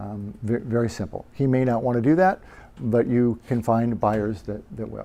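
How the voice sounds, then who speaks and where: His voice sits at a medium pitch for a man and has a dark, mellow tone. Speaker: real estate investor presenting to a meetup. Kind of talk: presentation. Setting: meetup group presentation. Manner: fast; halting, many fillers.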